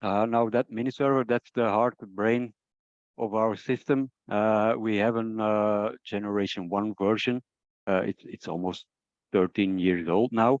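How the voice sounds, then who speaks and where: Recorded with a dry, close sound, no echo and a quiet background, a man with a non-native accent talks at a moderate pace in a medium pitch with ordinary pitch variation. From Belgium. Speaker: product trainer. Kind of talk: webinar presentation. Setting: online webinar. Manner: halting, many fillers.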